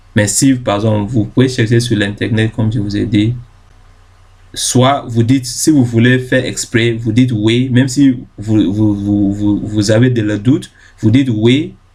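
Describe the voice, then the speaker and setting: Somewhat breathy, a man speaks at a medium pitch with fairly even intonation. His pace is fairly slow. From Ghana. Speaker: YouTube tutorial creator. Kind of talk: tutorial. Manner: halting, many fillers and self-corrections.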